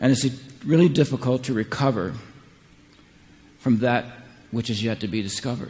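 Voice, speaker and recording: A man with an American accent and a medium pitch talks at a fairly quick pace, sounding somewhat breathy, with ordinary pitch variation and long, frequent pauses. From United States. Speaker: psychotherapist and keynote speaker. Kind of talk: keynote speech. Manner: halting, some repeated words.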